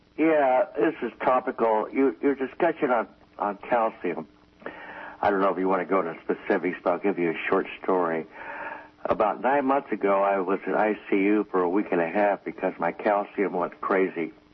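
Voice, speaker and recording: A man with a fairly low pitch speaks at a moderate pace with lively intonation over noticeable background noise. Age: 70s. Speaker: caller. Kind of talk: call-in question. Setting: phone call.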